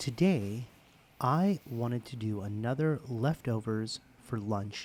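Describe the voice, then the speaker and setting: Soft-spoken and relaxed in tone, a man talks at a very slow pace in a medium pitch with lively intonation. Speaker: ASMR creator. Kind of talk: soft-spoken ASMR personal attention ramble. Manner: soft-spoken, intimate, relaxed.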